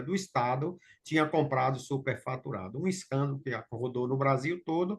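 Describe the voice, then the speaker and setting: A man speaks in a plain, everyday voice. His pace is moderate and his pitch varies in an ordinary way. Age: 60s. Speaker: local participant in technical talk. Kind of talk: Q&A discussion.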